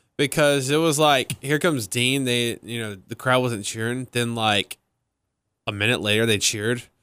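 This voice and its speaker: A man with a slight country accent speaks at a moderate pace and medium pitch, his bright, sharp tone showing ordinary pitch variation in a dry, close sound with no echo and a very clean recording with a silent background. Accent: slight country twang. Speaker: wrestling podcast co-host. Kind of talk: casual chat. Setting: studio.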